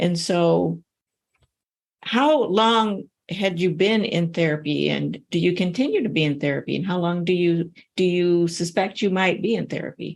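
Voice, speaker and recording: Using a normal speaking voice, a woman talks at a moderate pace in a fairly low pitch with ordinary pitch variation. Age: 60s. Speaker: podcast host, anti-trafficking professor. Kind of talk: interview.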